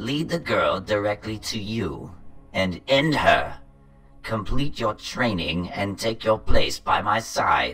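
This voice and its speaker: Faint music plays in the background as a man with a fairly low pitch speaks at a fairly slow pace. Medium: machinima. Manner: imperious, menacing, scornful.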